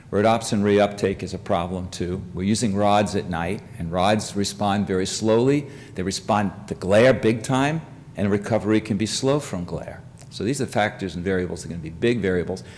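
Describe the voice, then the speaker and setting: Audible room echo surrounds the voice. A man with fairly low pitch and ordinary pitch variation speaks at a moderate pace. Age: 70s. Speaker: professor. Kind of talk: lecture. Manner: halting.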